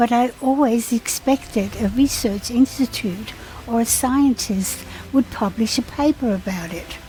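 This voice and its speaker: There is noticeable background noise. A woman speaks with a fairly high pitch and ordinary pitch variation. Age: 70s. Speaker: retired businesswoman. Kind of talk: informational narration.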